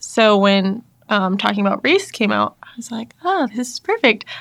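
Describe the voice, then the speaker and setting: There's a woman with an ordinary speaking voice. She keeps a moderate pace. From US South, North Carolina (army family, moved around). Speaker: church staff member and former teacher. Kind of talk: casual interview chat.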